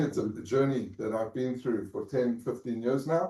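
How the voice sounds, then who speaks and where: A man with a South African accent talks at medium pitch with a dark, mellow tone. His pitch varies in an ordinary way. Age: 50s. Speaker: Holocaust family history speaker. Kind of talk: talk to students. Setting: lecture room with Zoom audience. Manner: halting.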